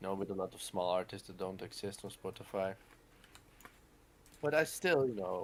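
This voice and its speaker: A man at a fairly low pitch with lively intonation and a moderate pace. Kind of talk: casual chat. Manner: halting.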